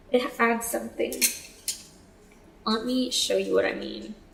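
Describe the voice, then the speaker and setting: Noticeable background noise is present. Over it, a woman talks at a fairly slow pace. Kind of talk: casual talk to camera. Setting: headset microphone, low quality.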